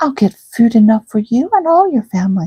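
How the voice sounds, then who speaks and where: A woman does a put-on character voice at a fairly high pitch. She moves at a fairly quick pace. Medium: read story. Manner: singsong, repetitive.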